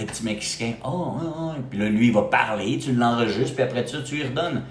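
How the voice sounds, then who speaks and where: A man talks at a fairly quick pace, medium in pitch with ordinary pitch variation. Room echo is audible, and background noise is noticeable. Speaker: real estate agent for expats. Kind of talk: live stream talk to viewers. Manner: animated, casual.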